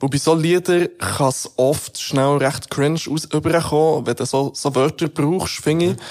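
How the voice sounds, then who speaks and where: A man in a plain, everyday voice, fairly high in pitch, with fairly even intonation, a moderate pace, and hardly any pauses. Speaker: radio host. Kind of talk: casual chat.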